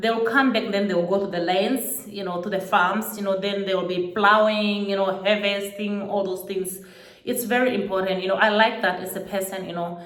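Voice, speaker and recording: A woman with a Botswana accent speaks at a medium pitch and moderate pace in a monotone, flat intonation. The room echoes audibly, and background noise is noticeable. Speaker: YouTuber. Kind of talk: casual vlog monologue. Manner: frequent fillers, hesitant.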